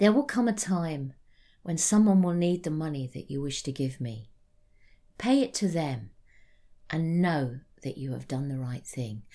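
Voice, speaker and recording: On a very clean recording with a silent background, a woman with a British accent and a very deep, low pitch speaks in a warm, dark, mellow tone with very wide pitch swings and long, frequent pauses. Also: moderate pace. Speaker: storyteller. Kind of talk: ghost story telling, spoken storytelling of a folk tale. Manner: warm, sincere and earnest, storyteller's cadence.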